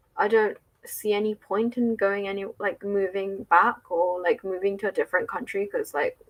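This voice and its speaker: In an English accent, a woman speaks at a fairly high pitch. Her pace is moderate and her pitch variation ordinary. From England. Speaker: spiritual livestreamer and English teacher. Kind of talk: casual livestream chat with viewers. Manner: casual, with frequent fillers.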